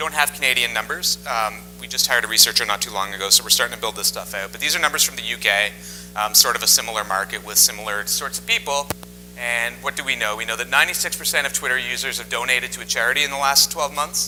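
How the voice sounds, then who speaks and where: With music playing in the background, a man talks at a very fast pace. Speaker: tech company news and government affairs lead. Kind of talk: conference presentation.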